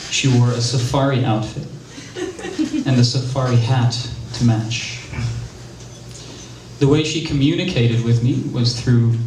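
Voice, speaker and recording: A man's monotone, flat delivery at a fairly slow pace amid noticeable background noise. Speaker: spoken word performer. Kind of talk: theatrical spoken-word monologue about a personal story. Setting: live theater stage.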